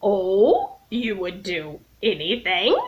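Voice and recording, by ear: A croaky, put-on character voice, female-sounding and at a medium pitch for a woman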